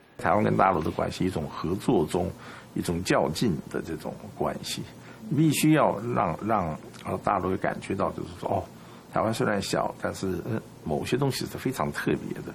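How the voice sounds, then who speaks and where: Through noticeable background noise, a man with a very deep, low pitch speaks at a moderate pace with very wide pitch swings. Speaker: publisher. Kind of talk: public speech.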